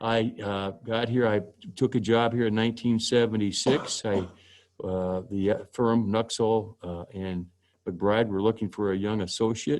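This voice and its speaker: Fairly slow pace and fairly even intonation in an Inland Northwest accent, over a quiet background. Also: man, fairly low pitch for a man. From Spokane, Washington. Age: 60s. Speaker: judge. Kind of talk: presentation. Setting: video call.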